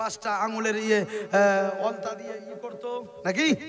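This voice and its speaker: Amid noticeable background noise and audible room echo, a man talks at a high pitch with fairly even intonation. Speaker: Islamic preacher. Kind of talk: sermon.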